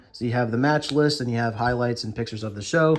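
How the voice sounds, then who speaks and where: Fairly even intonation carries speech delivered at a very fast pace. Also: man. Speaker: wrestling collector YouTuber. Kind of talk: product showcase video. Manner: casual, many fillers.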